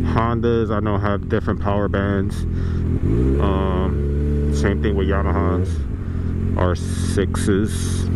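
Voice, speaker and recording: Someone speaks at a very slow pace with long, frequent pauses and ordinary pitch variation, the dry sound having no echo beneath loud background noise. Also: man. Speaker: motorcycle rider vlogger. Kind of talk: casual vlog chat. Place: motorbike. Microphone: helmet.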